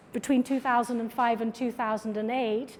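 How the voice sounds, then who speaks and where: A high-pitched woman's voice with a British accent. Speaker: artist and filmmaker giving a lecture. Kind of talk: lecture.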